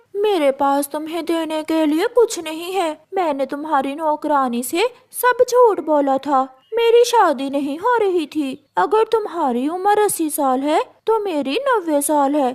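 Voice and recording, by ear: A woman does a cartoonish character voice with a high pitch. She speaks at a fairly slow pace.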